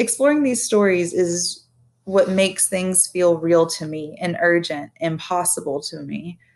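Her voice fairly low, a woman speaks at a fairly slow pace with ordinary pitch variation and big swings in loudness. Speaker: podcast host. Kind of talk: solo podcast monologue. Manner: animated.

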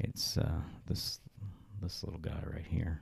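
A man speaks at a fairly slow pace. His voice is very deep and low, with a dark, mellow tone. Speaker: podcast host. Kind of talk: solo monologue podcast, casual. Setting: home makeshift studio. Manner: hesitant, many fillers.

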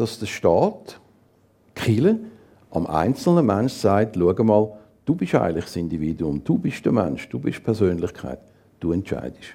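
A man speaks at a fairly slow pace in a dark, mellow tone, his pitch swinging very widely between long, frequent pauses. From Zurich, Switzerland. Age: 60s. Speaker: assisted-dying companion, former teacher and psychologist. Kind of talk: interview on stage. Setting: stage with audience.

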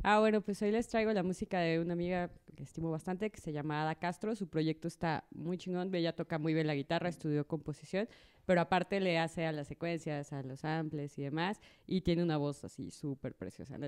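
A woman with a Mexican accent at a very deep, low pitch and a fairly quick pace, in a dry, close sound with no echo and a quiet background. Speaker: guest co-host. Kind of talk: casual chat.

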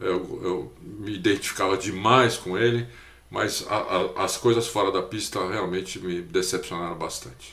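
A man speaks at a fairly slow pace with a fairly low pitch. His intonation is fairly even, with audible room echo around him. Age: 50s. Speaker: motorsport podcast co-host. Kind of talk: casual chat.

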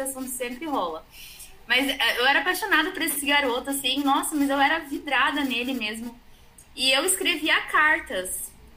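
A woman speaks at a moderate pace in a raised, projected voice with ordinary pitch variation. Her high voice has a bright, sharp tone. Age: 30s. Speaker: psychology student. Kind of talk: casual chat.

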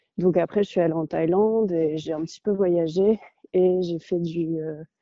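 A woman's fairly low voice, fairly slow in pace, with fairly even intonation. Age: 20s. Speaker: traveller. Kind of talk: interview.

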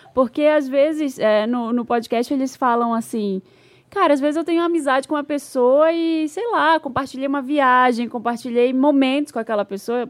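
A woman's high-pitched voice moves at a moderate pace with ordinary pitch variation on a very clean recording with a silent background. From Brazil, Belém. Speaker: podcast co-host. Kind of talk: casual chat.

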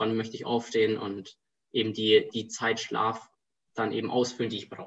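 Monotone, flat intonation runs through a man's speech. His voice sits at a medium pitch. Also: moderate pace. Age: 20s. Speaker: student and startup founder. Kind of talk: casual interview.

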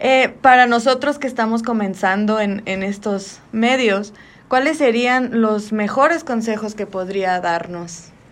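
A woman talks at a fairly slow pace in a fairly high pitch with ordinary pitch variation. It is a normal speaking voice. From Magdalena de Kino, Sonora, Mexico. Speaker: student interviewer. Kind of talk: interview.

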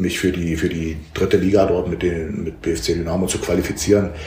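A man speaks at a moderate pace in a monotone, flat intonation. Audible room echo and noticeable background noise are present. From eastern Germany, Halle (Saale). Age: 50s. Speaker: football coach, former pro footballer. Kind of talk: casual interview. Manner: hesitant, with fillers and repetitions.

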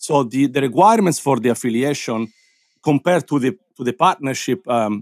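This is an ordinary speaking voice from a man at medium pitch and a moderate pace. His pitch varies in an ordinary way, and the sound is dry and close with no echo. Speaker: DJ and Twitch streamer. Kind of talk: casual chat. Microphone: nice microphone.

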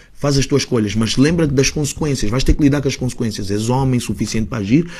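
A man's somewhat breathy, dark, mellow voice at a very fast pace. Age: 30s. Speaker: rapper. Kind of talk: casual chat. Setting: studio.

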